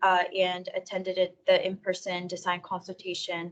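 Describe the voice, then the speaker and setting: Her pitch sits in the middle range. The woman's delivery stays monotone and flat. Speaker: water district staff member presenting updates. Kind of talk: committee meeting report. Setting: public committee meeting. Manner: fast.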